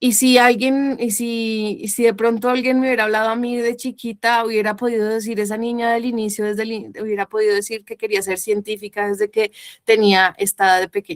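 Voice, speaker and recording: Speaking at a fairly quick pace with hardly any pauses, a woman with a fairly high pitch keeps her intonation fairly even, the sound dry and close with no echo. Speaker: biologist. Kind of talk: lecture. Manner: fast; halting.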